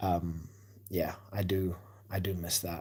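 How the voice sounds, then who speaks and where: His voice has a very deep, low pitch and is somewhat breathy. The man keeps his intonation fairly even. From South Africa, Cape Town. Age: 30s. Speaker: sports livestreamer. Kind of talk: casual chat. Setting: livestream at night. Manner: hesitant, many fillers.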